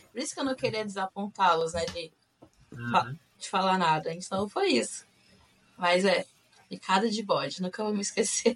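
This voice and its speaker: Somewhat breathy and medium in pitch, a woman speaks at a moderate pace with lively intonation and long, frequent pauses. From Brazil, Rio de Janeiro state (Macaé). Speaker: returned missionary. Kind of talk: casual interview.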